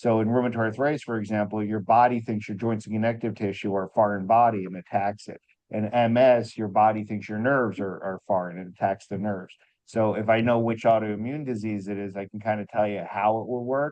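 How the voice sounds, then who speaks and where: A man speaks at a fairly quick pace with hardly any pauses. His pitch is fairly low and his intonation fairly even. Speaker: company biochemist answering product questions. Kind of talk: live Q&A on video call. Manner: fast.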